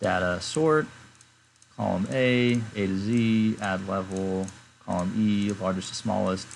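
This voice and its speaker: A man with a plain, everyday voice speaks at a fairly slow pace, fairly low in pitch, with ordinary pitch variation. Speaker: spreadsheet tool creator, tutorial maker. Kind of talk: screen-recorded software tutorial. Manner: casual, many fillers.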